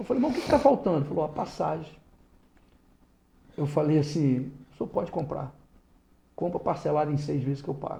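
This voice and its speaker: Somewhat breathy and dark, mellow in tone, a man talks at a fairly quick pace with a fairly high pitch and ordinary pitch variation. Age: 60s. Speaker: lawyer and former politician. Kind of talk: interview. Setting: podcast studio.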